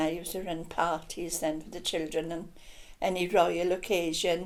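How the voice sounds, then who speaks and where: Amid audible room echo, a woman with a Welsh accent speaks at a moderate pace in a fairly low pitch with monotone, flat intonation. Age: 80s+. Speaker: local resident. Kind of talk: casual chat.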